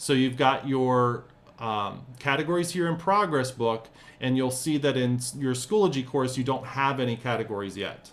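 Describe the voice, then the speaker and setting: This man speaks at a moderate pace with a medium pitch and ordinary pitch variation. He has an unremarkable speaking voice. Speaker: teacher trainer. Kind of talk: tutorial.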